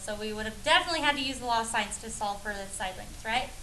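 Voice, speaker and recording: A woman at a very fast pace, ordinary pitch variation, audible room echo and noticeable background noise. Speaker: high school math teacher. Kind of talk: classroom lesson. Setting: classroom with students. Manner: animated.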